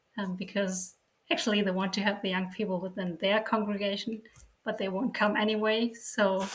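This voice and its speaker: With a German accent, a woman speaks at medium pitch in a somewhat breathy voice with fairly even intonation. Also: fairly quick pace. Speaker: sociologist and church outreach worker. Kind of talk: interview. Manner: hesitant, many fillers.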